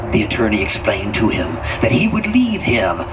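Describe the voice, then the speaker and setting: A man uses a put-on character voice. Loud background noise plays behind him. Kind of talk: horror narration. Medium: stage play. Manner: slow, suspenseful, dramatic.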